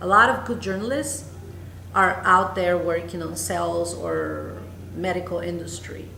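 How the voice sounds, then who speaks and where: A woman with a Spanish accent at a fairly slow pace, amid audible room echo and noticeable background noise. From Honduras. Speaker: news anchor. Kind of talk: interview. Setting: conference newsroom.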